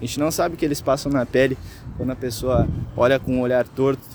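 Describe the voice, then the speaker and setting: At a fairly quick pace, a man with a medium pitch and ordinary pitch variation speaks against noticeable background noise. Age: 20s. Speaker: local resident, street interviewee. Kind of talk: vox pop interview.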